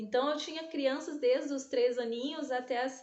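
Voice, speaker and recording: A woman talks in a high-pitched voice. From southern Brazil, interior of Paraná. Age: 30s. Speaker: dance teacher. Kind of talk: self-presentation testimony. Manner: hesitant, with fillers and restarts.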